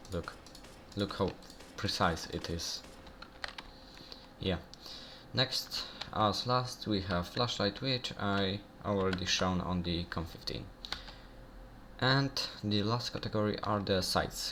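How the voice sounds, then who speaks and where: Very slowly and with long, frequent pauses, a man with a non-native accent speaks at a fairly low pitch with ordinary pitch variation. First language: not English. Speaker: gaming youtuber. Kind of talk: game tutorial. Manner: halting, many fillers. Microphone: bad audio quality.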